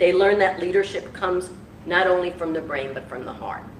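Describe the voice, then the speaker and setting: Against noticeable background noise and audible room echo, a woman talks at a fairly quick pace. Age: 70s. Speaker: public official. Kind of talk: speech at church service. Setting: church. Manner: halting.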